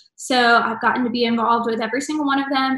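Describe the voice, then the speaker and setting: Audible room echo over a quiet background. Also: woman. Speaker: theater stage manager host. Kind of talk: casual vlog chat. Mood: cheerful, excited. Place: home room. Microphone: video call.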